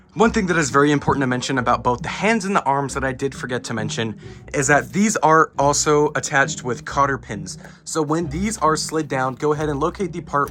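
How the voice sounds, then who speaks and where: A man with a plain, everyday voice, fairly high in pitch, with ordinary pitch variation and a fairly quick pace. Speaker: Halloween prop reviewer. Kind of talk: product unboxing and setup narration.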